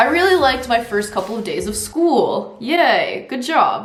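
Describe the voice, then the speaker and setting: Over noticeable background noise, a woman speaks in an animated tone at a fairly slow pace with very wide pitch swings. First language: Russian. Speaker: YouTuber. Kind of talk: casual chat, reading diary aloud.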